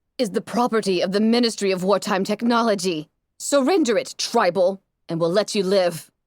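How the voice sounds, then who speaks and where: Putting on a gruff character voice, a woman speaks at a fairly quick pace with a medium pitch. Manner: commanding, insistent.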